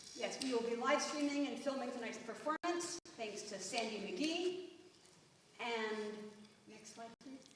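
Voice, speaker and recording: A high-pitched woman with an American accent and lively intonation, at a fairly slow pace with long, frequent pauses and audible room echo. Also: big swings in loudness. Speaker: poetry event host. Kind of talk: event hosting. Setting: stage with audience.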